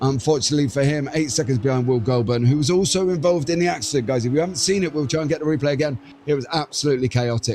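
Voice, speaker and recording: A man speaks with a dark, mellow tone. His pitch is fairly high, with ordinary variation. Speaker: sim racing commentator. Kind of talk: live commentary. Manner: fast; animated.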